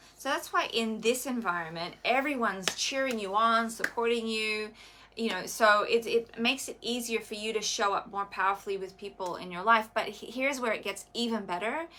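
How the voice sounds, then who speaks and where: A woman's fairly high voice, fairly quick and with hardly any pauses, with ordinary pitch variation. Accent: Australian. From Australia. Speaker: wellness coach. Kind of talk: live stream chat.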